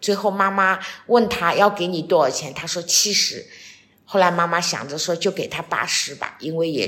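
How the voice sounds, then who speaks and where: Noticeable background noise accompanies a woman with a fairly low pitch. She talks at a fairly slow pace with ordinary pitch variation. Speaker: retiree, host's mother. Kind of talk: casual chat.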